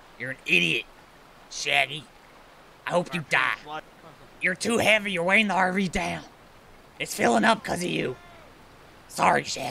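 Long, frequent pauses break up this man's speech. His pitch is high. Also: moderate pace. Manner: panicked, shouting.

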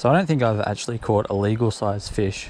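A man speaks at a fairly quick pace in a fairly low pitch, with a plain, everyday voice. The sound is dry with no echo, over light background noise. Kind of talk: casual vlog chat. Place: waterside. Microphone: phone near.

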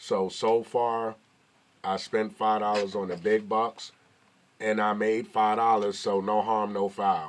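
Against light background noise, a man with an American accent speaks very slowly at a fairly low pitch in a flat, monotone intonation. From New York. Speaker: YouTuber. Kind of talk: casual vlog commentary. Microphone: phone near.

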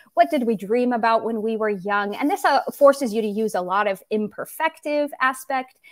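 Against a quiet background, a woman with a fairly high pitch and lively intonation talks at a moderate pace with hardly any pauses, in a dry sound with no echo. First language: English (speaking Russian). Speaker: YouTuber, Russian teacher. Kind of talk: interview; video introduction. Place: home room. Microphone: studio mic.

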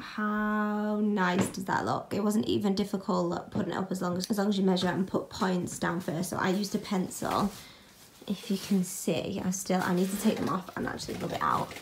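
A woman talks at a moderate pace and a medium pitch, with vocal fry and big pitch swings. Faint background noise sits behind her.

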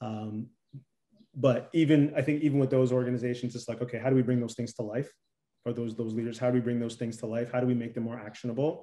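Against a quiet background, a man with a Canadian accent talks at a very fast pace in a dark, mellow tone with monotone, flat intonation. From Toronto, Canada. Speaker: performance coach. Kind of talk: interview conversation. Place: home room. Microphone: webcam.

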